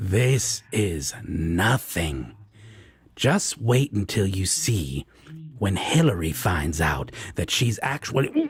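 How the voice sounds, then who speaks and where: A man puts on a character voice at a fairly low pitch. He speaks very slowly. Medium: audio drama. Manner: teasing, casual.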